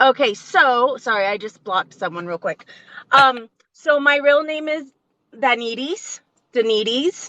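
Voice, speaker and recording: A woman's high, raised, projected voice has a bright, sharp tone, lively intonation and big swings in loudness. She speaks at a fairly slow pace, and the sound is dry and close with no echo. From Las Vegas, Nevada (Mexican family). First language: Spanish. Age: 40s. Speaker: trauma survivor and public speaker. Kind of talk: podcast interview. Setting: in a car, livestream. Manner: articulation issues, sometimes stumbles over words.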